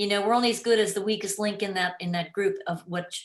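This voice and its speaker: A woman speaks in a normal speaking voice at medium pitch, with fairly even intonation. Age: 60s. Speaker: orchestral flutist. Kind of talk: casual interview.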